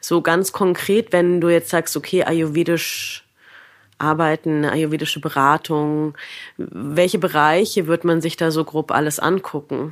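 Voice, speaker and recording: Very deep and low in pitch, a woman speaks at a fairly slow pace with very even loudness and fairly even intonation. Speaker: podcast host and yoga teacher. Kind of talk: interview.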